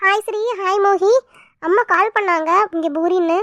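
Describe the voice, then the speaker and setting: A squeaky, put-on character voice talks at a fairly slow pace with fairly even intonation. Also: woman, extremely high pitch for a woman. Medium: cartoon. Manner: scolding, grumbling.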